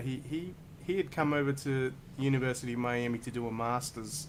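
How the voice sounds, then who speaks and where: This man talks at a fairly slow pace with an Australian accent. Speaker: saxophonist and educator. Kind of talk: interview conversation.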